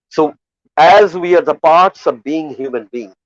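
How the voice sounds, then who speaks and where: A man speaks very slowly with a Bengali accent. The sound is dry and close, with no echo. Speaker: poet. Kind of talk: festival valedictory speech. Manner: halting, with repetitions and fillers.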